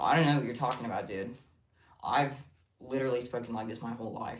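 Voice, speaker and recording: A man's raspy, put-on character voice at a medium pitch, very fast pace and fairly even intonation, with audible echo. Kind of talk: casual, deadpan.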